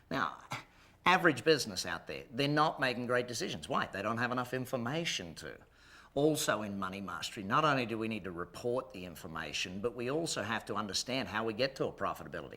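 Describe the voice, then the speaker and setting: A man talks very fast at medium pitch, his bright, sharp tone carrying vocal fry and lively intonation. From Australia. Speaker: business coach and company executive. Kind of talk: business seminar presentation.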